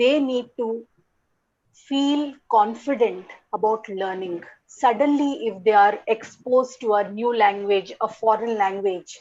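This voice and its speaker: With an Indian accent, a woman speaks fairly slowly at a fairly high pitch and with ordinary pitch variation, the background quiet. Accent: Indian English (Telugu). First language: Telugu. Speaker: English language teaching academic. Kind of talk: conference talk.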